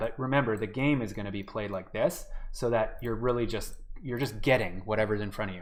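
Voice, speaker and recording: Medium in pitch, a man speaks at a moderate pace in a normal speaking voice with fairly even intonation. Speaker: game development workshop instructor. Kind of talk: live-streamed tutorial. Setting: live online stream. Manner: casual, many filler words.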